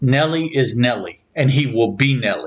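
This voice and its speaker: A man with an American accent speaks at a very slow pace. His voice is somewhat breathy and fairly high in pitch. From US South, southern West Virginia. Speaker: podcast host. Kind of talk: casual chat.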